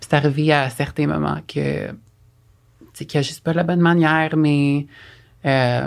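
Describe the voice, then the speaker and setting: Recorded very cleanly against a silent background, the speaker talks at a moderate pace. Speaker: podcast guest. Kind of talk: casual chat.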